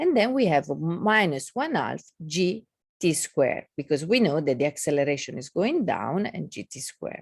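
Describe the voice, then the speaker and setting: A woman's fairly low, fairly slow voice with very wide pitch swings, a non-native accent and a dry, close sound with no echo. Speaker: physics lecturer. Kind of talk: lecture. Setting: video call. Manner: halting.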